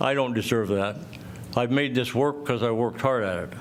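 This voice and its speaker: In a room with audible echo, a man talks at a medium pitch. His pitch varies in an ordinary way. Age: 70s. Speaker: property owner, public commenter. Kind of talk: public comment at council meeting. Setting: city council chamber. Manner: loud.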